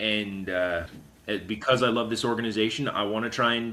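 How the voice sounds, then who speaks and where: Fairly quick and bright, a man speaks in a sharp tone with an American accent. His pitch is medium and his intonation fairly even. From US West, rural Idaho. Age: 30s. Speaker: marine scout. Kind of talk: casual interview. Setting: in-person podcast.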